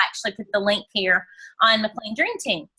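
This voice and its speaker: This woman's voice sits at a fairly high pitch with a bright, sharp tone. Her pitch variation is ordinary. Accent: American. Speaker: direct sales team leader. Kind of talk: team training call. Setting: video call from bedroom.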